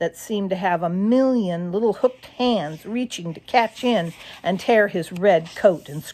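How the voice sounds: The clip carries a natural reading voice.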